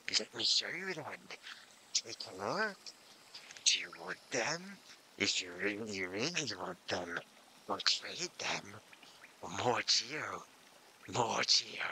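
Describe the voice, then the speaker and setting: A man uses a put-on character voice at a medium pitch, with clear background noise behind him. He goes at a very slow pace, with long, frequent pauses. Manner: pleading, greedy.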